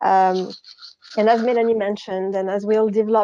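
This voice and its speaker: A woman's dark, mellow tone at a medium pitch, with a French accent, monotone, flat intonation and a quiet background. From France. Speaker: account director. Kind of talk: conference presentation. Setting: video call.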